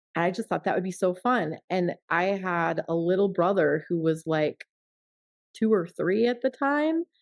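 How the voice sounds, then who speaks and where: In an American accent, a woman talks at a moderate pace in an unremarkable speaking voice. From US Midwest, Missouri. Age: 40s. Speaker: entrepreneur and brand photographer. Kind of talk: casual interview chat.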